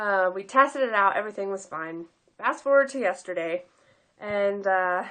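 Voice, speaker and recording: Over a quiet background, a woman with a bright, sharp tone and a medium pitch speaks at a moderate pace, using ordinary pitch variation and big swings in loudness. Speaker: surrogate mother vlogger. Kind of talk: casual vlog. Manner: hesitant, many fillers.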